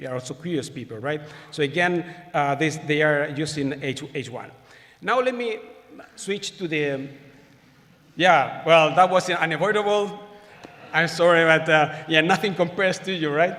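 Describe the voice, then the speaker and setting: Amid noticeable background noise and audible room echo, a man with fairly high pitch and ordinary pitch variation pauses long and often. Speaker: astronomer giving plenary talk. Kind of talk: conference lecture. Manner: fast; halting, many repetitions.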